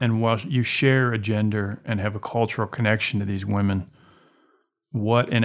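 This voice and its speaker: In a very clean recording with a silent background, a man with a plain, everyday voice talks at a fairly low pitch and a moderate pace with fairly even intonation. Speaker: poet and professor, interviewer. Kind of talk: interview.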